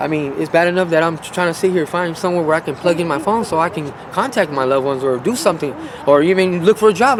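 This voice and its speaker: An American-accented man talks at a very fast pace with hardly any pauses, his pitch high. Noticeable background noise runs underneath. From Las Vegas, Nevada. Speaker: homeless man. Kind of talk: interview testimony. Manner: halting.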